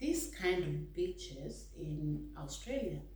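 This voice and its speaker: A woman talks with a Kenyan accent. Audible room echo and noticeable background noise surround her voice. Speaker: vlogger. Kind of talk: casual vlog talk. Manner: hesitant, many fillers.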